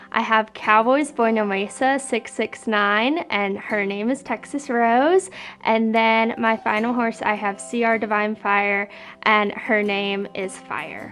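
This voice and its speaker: Over music in the background, a woman with a fairly high pitch speaks very slowly in an American accent. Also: ordinary pitch variation. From Nevada, Washoe Valley. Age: 20s. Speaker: rodeo queen. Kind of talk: interview.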